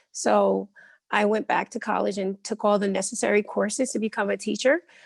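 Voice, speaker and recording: A woman's fairly high pitch comes across dry and close with no echo. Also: quiet background. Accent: New Jersey. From Elizabeth, New Jersey, US. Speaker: ESL teacher. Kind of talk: interview.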